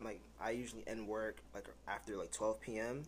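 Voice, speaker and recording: This is a man speaking in a New York accent. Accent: New York City. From US Northeast, New York City (Bronx). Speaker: freelance photographer. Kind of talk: casual interview chat.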